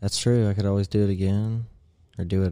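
A man's very deep, low voice, dark and mellow, fairly quick and fairly even in intonation. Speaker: podcast host. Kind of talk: casual chat. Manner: casual, profane.

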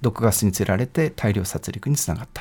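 Lively intonation marks this man's unremarkable speaking voice. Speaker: law professor. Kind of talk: expert interview. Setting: studio. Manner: formal.

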